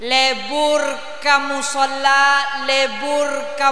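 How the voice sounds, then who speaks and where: Over background music and audible room echo, a man with a Madurese accent projects a raised voice at an extremely high pitch for a man. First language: Madurese (speaking Indonesian). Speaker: Islamic preacher. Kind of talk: sermon. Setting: mosque event with audience.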